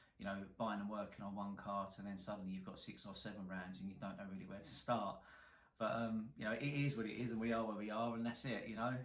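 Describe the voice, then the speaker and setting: Speaking very fast with a strong London accent, a man with a fairly low pitch keeps a fairly even intonation over audible room echo. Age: 40s. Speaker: car salvage repairer, YouTuber. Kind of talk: casual to-camera introduction.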